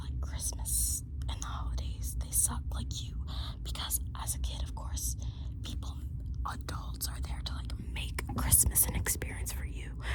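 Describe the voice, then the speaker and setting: Moderately paced whispering from a woman, with noticeable background noise around it. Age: 20s. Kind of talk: casual talk to camera. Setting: close to the mic at home, no mic equipment. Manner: whispered.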